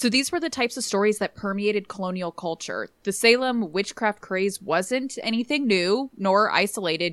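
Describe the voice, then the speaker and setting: A woman of medium pitch speaks at a moderate pace with lively intonation. The recording is very clean, with a silent background and a dry, close sound with no echo. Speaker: history podcaster. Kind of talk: casual conversation with history storytelling.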